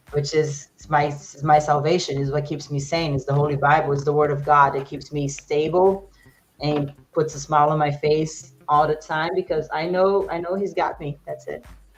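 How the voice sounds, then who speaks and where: A woman speaks at a moderate pace with a very deep, low pitch. Her voice is somewhat breathy, and her intonation is monotone and flat. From Brazil. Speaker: fitness instructor. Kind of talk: interview.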